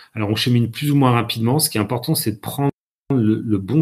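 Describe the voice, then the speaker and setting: Speaking at a fairly quick pace, a man uses a medium pitch with ordinary pitch variation and a somewhat breathy sound. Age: 50s. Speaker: communication consultant. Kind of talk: lecture. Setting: live-streamed masterclass.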